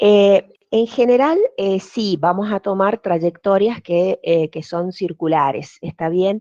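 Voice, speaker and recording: A woman speaks at a very slow pace in a dark, mellow tone with hardly any pauses. The sound is dry and close with no echo, over a quiet background. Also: medium pitch for a woman, ordinary pitch variation. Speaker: physics teacher. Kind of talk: online lecture. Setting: video call. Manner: hesitant, many fillers.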